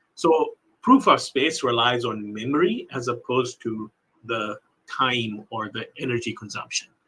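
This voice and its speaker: A man's voice with lively intonation. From England, born in Pakistan, moved to US at 15. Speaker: investor. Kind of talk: casual interview chat.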